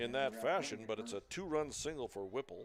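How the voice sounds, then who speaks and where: At a moderate pace, a man speaks at a medium pitch with lively intonation. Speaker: baseball play-by-play announcer. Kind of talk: live commentary. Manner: loud.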